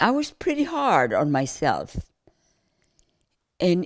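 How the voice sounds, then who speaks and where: Against a silent background in a very clean recording, a woman speaks at a very slow pace. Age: 80s+. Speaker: grandmother sharing life wisdom. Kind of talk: reflective interview monologue. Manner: calm; halting, repeats words.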